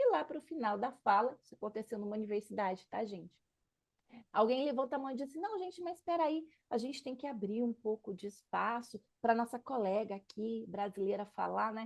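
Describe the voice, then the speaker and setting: Lively in intonation, a woman speaks fairly quickly with an unremarkable speaking voice, a fairly high pitch and big swings in loudness. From Brazil. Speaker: political scientist and activist. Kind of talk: interview.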